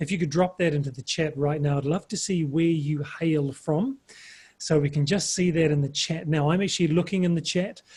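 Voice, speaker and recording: A man with a New Zealand accent talks at a fairly quick pace, fairly high in pitch, with ordinary pitch variation. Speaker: webinar presenter. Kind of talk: webinar presentation. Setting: video call webinar.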